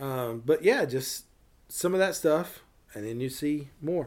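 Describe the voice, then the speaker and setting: Lively intonation marks this man's speech in a Tennessee accent. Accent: Tennessee Southern. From US South. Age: 40s. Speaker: small business owner. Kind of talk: casual chat. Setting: in person.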